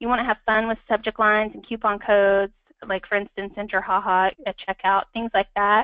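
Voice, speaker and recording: A woman's voice of medium pitch, with monotone, flat intonation and a fairly quick pace. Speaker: marketing strategist presenting a webinar. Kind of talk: webinar presentation. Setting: online webinar. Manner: fast; many filler words.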